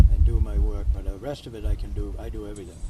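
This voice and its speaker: A man's very deep, low voice in a Maine accent at a very fast pace, with audible room echo and noticeable background noise. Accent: New England (Maine) American. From Maine, US. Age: 70s. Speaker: retired car builder and racer. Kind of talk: casual interview. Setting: outdoors.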